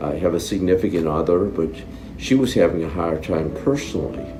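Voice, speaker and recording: Audible room echo and noticeable background noise surround the speaker. A man talks at a moderate pace. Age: 70s. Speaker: brain injury survivor. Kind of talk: interview testimony. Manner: halting.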